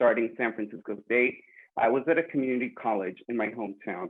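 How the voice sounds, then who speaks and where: This man has a plain, everyday voice with an American accent. He talks at a moderate pace with a medium pitch and fairly even intonation. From California, Woodland. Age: 20s. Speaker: student mental health advocate. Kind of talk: personal introduction on panel.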